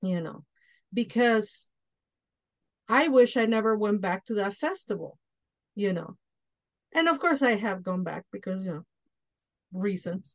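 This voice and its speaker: A woman with a Spanish accent speaks fairly slowly at a medium pitch with lively intonation and long, frequent pauses, in a dry, close sound with no echo. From Mexico. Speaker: podcast host. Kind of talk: casual interview chat; show announcements.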